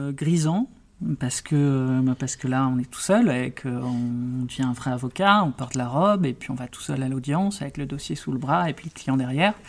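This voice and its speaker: A man in a normal speaking voice, medium-pitched with ordinary pitch variation, at a moderate pace, with big swings in loudness. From Brittany, France (Brest). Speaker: criminal lawyer and prison rights advocate. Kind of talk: interview.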